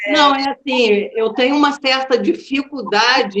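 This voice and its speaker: A woman talks fairly slowly in a high-pitched voice. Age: 60s. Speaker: performance artist. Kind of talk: casual conversation about artistic research.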